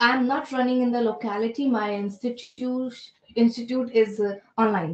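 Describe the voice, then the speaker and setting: A woman speaks at a moderate pace in a fairly high voice. Her pitch varies an ordinary amount. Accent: Indian. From India, Delhi. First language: Hindi. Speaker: spoken English trainer and career coach. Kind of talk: interview. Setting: phone call.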